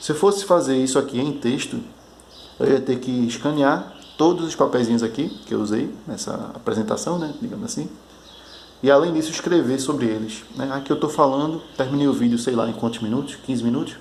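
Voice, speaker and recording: This man speaks at a fairly quick pace with a fairly high pitch and ordinary pitch variation. The room echo is audible. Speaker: board game designer vlogger. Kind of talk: casual video diary, one take. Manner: halting, some stammering.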